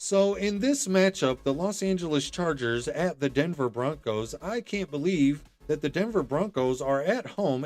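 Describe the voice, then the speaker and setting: This man has a plain, everyday voice and lively intonation. He speaks at a moderate pace. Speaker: fantasy football podcast host. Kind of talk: casual chat.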